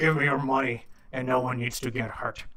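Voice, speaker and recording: A man puts on a character voice that is gravelly and raspy at a medium pitch. He talks at a fairly quick pace in a flat monotone. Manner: intimidating, threatening.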